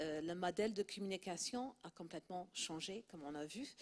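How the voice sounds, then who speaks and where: Fairly low in pitch, a woman talks at a fairly slow pace with a slight non-native accent. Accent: slight foreign accent in French. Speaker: PR and communications director. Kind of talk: panel discussion.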